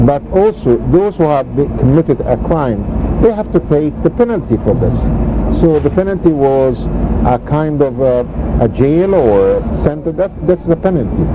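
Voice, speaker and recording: There is noticeable background noise. A man speaks with long, frequent pauses. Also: moderate pace. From Egypt. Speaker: planning and development expert. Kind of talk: TV interview. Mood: firm, earnest political views. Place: waterside. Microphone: lapel.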